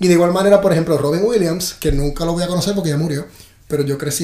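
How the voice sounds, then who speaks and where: A high-pitched man with fairly even intonation over noticeable background noise. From Puerto Rico. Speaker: actor. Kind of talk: casual chat.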